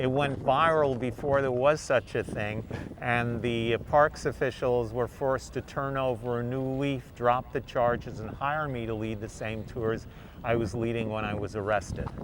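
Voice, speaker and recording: A medium-pitched man with a New York accent, noticeable background noise behind him. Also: fairly even intonation, moderate pace. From New York, Queens. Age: 70s. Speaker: forager and environmental educator. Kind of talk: interview.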